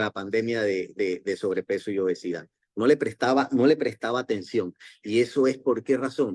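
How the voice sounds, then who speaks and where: In a dry, close sound with no echo, a man uses a normal speaking voice at a moderate pace with ordinary pitch variation. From Panama. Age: 60s. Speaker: network marketing distributor, former doctor. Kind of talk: motivational talk.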